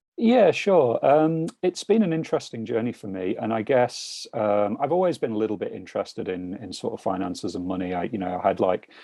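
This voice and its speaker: Speaking at a fairly quick pace with hardly any pauses, a man talks in a British accent. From UK. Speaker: financial mentor. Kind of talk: casual interview over video call. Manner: hesitant, many fillers.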